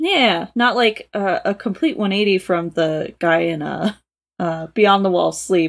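In a very clean recording with a silent background, a woman with an unremarkable speaking voice and medium pitch talks at a fairly slow pace. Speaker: co-reader guest. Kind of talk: casual chat, reading and discussing a story.

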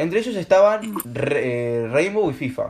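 Over noticeable background noise, a man talks in an animated tone with a Rioplatense accent and lively intonation. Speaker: amateur podcast host. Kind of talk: casual chat.

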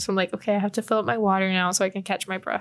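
A woman with an American accent speaks at medium pitch in a monotone, flat intonation. The recording is very clean, with a silent background. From Texas, San Antonio. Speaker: student podcast co-host. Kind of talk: casual chat. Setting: student newspaper office.

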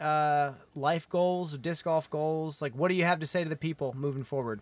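A man with a plain, everyday voice speaks at a moderate pace, his fairly high pitch varying in an ordinary way. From US Midwest. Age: 30s. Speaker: podcast host and disc golfer. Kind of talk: casual interview chat. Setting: in person, on mics at tournament.

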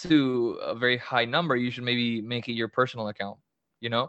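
With a monotone, flat intonation, a man talks fairly quickly at a medium pitch. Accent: Spanish. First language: Spanish. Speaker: social media account creator. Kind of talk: casual chat.

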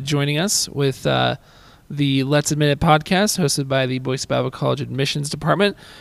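In a normal speaking voice, a man with a fairly high pitch speaks at a moderate pace with fairly even intonation. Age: 20s. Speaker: admissions counselor and podcast host. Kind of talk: casual interview.

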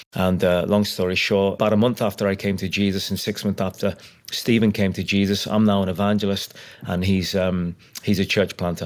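Fairly low-pitched male voice with a Liverpool accent, flat monotone intonation, and a fairly quick pace on a very clean recording with a silent background. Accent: Liverpool (Scouse). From Liverpool, England. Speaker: evangelist. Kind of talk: testimony.

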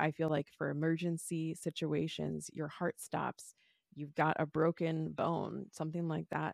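In a quiet background with a dry, close sound and no echo, a woman speaks at a fairly slow pace in a calm, soothing tone, her very deep, low pitch delivered with monotone, flat intonation. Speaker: holistic nutritionist and wellness coach. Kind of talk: interview conversation, telling personal story.

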